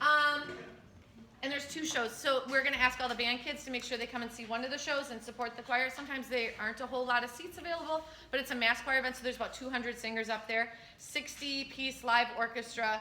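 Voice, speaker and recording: Through noticeable background noise, a woman speaks very fast at a high pitch with fairly even intonation. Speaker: school choir director. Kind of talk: parent info meeting Q&A.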